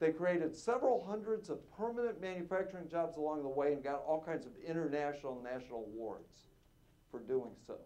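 A man's dark, mellow tone moves at a fairly quick pace with lively intonation. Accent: American. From Appalachian Ohio; Ohio. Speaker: solar developer; panelist. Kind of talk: panel discussion. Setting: stage with audience. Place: hall. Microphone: lapel.

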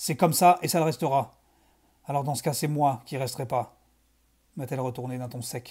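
Speaking at a moderate pace, a man has a fairly high pitch, ordinary pitch variation and a dark, mellow tone that is somewhat breathy. Long pauses come often, and the recording is very clean with a silent background. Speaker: video creator reading fiction aloud. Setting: home video recording in dim, reddish lighting. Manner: casual and relaxed in intro, chatty.

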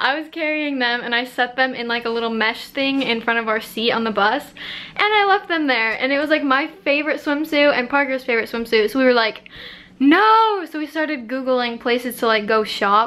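In a raised, projected voice, a woman talks at a moderate pace with ordinary pitch variation and hardly any pauses. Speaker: vlogger. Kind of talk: casual vlog chat. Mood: amused, storytelling. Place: home room. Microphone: phone near.

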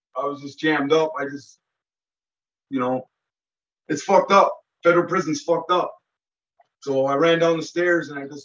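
A man talks at a high pitch and a fairly quick pace. His intonation stays fairly even. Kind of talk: interview answer. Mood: intense storytelling. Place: home room. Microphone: video call.

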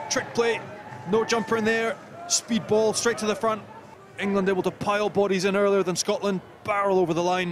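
A man speaks at a fairly quick pace in a high pitch, with an enthusiastic tone and very even loudness. He leaves long, frequent pauses, and noticeable background noise runs underneath. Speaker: co-commentator, rugby analyst. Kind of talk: live sports co-commentary, analysis. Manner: enthusiastic, emphatic analysis.

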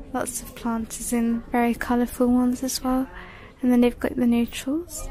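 A woman speaks at a moderate pace with a dark, mellow tone. Her fairly high pitch shows little movement.

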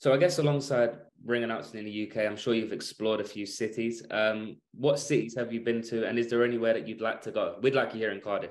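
Speaking very fast with hardly any pauses, a man keeps a medium pitch and fairly even intonation. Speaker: student sports interviewer. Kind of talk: interview questions. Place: kitchen. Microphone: video call.

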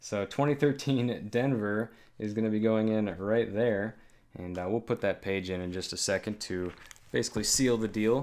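An ordinary speaking voice from a man, fairly low in pitch, at a moderate pace with fairly even intonation. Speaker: coin collector host. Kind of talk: casual vlog commentary. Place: home room.

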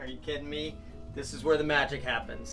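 Clear background music behind a man speaking. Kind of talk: casual vlog chat. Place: boat.

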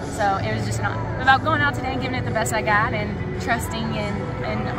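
Over loud background music, a woman talks at a fairly quick pace in a dry sound with no echo. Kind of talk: interview answer. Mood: happy, relieved, grateful. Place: hall.

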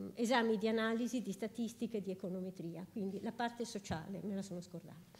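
A woman talks in a plain, everyday voice, fairly high in pitch. Her pace is fairly quick, with ordinary pitch variation. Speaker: professor. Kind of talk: lecture. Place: hall.

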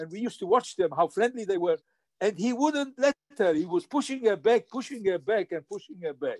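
Over a quiet background with a dry sound and no echo, a man speaks fairly quickly in a high voice with lively intonation. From Poland. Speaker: Holocaust survivor and speaker; memorial lecture speaker, witness. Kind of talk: lecture. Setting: video call. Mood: grave, emotional recounting. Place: home room. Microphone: video call.

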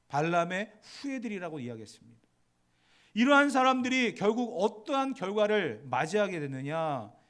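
A man's high-pitched voice at a moderate pace, with very wide pitch swings and audible room echo. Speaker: pastor. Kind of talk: sermon. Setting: church.

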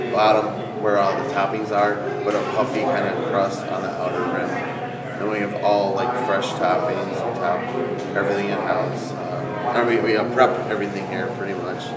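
Loud noise fills the background as a man talks at a moderate pace. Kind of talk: interview answer. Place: shop.

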